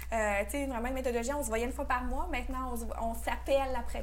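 Noticeable background noise and audible room echo around a female speaker. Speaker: business coach for women entrepreneurs. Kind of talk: podcast interview. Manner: soft-spoken.

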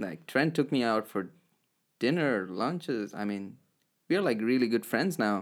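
A man with an Indian accent talks at a moderate pace and medium pitch, with very wide pitch swings. Long pauses come often, and the recording is very clean with a silent background. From South India, raised in Kuwait. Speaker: international student. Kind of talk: casual interview. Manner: halting, many fillers.

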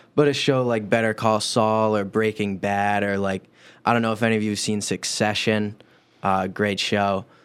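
On a very clean recording with a silent background, a man speaks at a moderate pace in a fairly low voice. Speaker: university student. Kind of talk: casual chat. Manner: animated.

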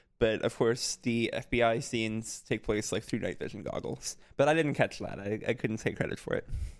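In an ordinary speaking voice, a man speaks at medium pitch with fairly even intonation and hardly any pauses, on a very clean recording with a silent background. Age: 20s. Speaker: podcast co-host. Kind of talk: casual chat.

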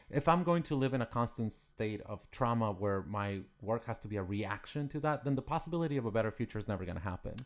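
With a Spanish accent, the voice races at a very fast pace with hardly any pauses over a quiet background. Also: man, medium pitch for a man, lively intonation. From Mexico, Ciudad Juarez. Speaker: artist. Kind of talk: interview.

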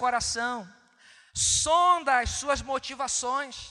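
A man with a Brazilian accent uses a raised, projected voice at an extremely high pitch, speaking at a very slow pace in a bright, sharp tone with ordinary pitch variation. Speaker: preacher. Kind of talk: sermon on communion, Bible reading, exhortation. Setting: church. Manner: earnest, pastoral, rhetorical repetition; formal, measured, direct address to congregation.

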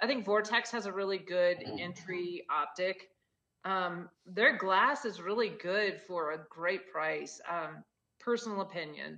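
A woman talks at a fairly slow pace in a plain, everyday voice. Her pitch is medium and varies in an ordinary way. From Gunnison, Colorado. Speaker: founder of women's hunting apparel company. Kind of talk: casual chat. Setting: video call.

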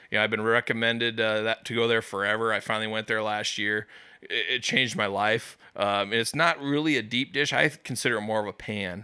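In an American accent, a bright, sharp tone moves at a fairly quick pace with hardly any pauses and fairly even intonation, on a very clean recording with a silent background. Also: man, medium pitch for a man. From US Midwest, West Des Moines, Iowa. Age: 30s. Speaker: pizza reviewer. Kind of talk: casual chat.

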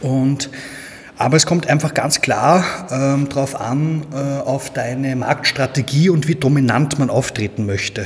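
A man with a Viennese accent at a fairly high pitch and fairly slow pace, ordinary pitch variation, noticeable background noise. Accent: Viennese Austrian German. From Austria, Vienna. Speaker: agency owner, SEO expert. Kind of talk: casual interview.

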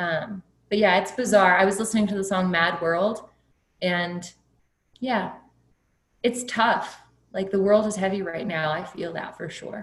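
A woman's somewhat breathy, medium-pitched voice with an American accent, fairly even intonation, a fairly slow pace, long, frequent pauses, and audible room echo. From Texas Hill Country. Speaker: pharmacist. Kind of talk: interview conversation.

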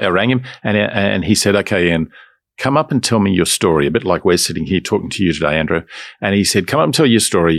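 A man with an Australian accent speaks in a fairly low pitch with lively intonation. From Australia, Melbourne. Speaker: business owner. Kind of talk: interview.

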